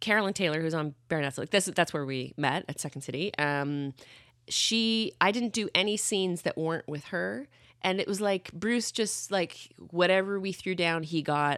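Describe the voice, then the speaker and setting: A woman with a Canadian accent in an unremarkable speaking voice, fairly low in pitch, at a moderate pace with lively intonation, on a very clean recording with a silent background. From Canada. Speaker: comedian. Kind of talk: casual chat.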